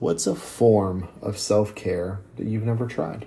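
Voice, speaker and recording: A man's fairly low, somewhat breathy voice with fairly even intonation and a dark, mellow tone. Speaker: fitness podcast host. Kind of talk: solo podcast monologue.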